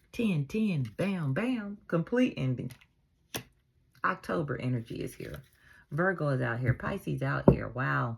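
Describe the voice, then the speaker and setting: With long, frequent pauses, a woman talks at a fairly slow pace. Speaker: tarot reader and spiritual advisor. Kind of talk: tarot reading monologue. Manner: mellow; animated.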